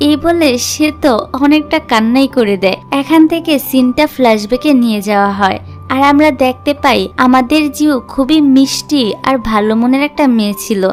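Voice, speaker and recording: Music sits in the background. A woman speaks at a high pitch with very even loudness. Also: ordinary pitch variation. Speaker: drama explainer. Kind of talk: drama plot recap narration. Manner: casual, chatty.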